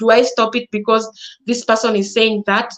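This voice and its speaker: A woman with a Kenyan accent, a fairly high pitch and a fairly quick pace. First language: Swahili or a Kenyan language. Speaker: content creator. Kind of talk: live talk to audience. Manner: halting.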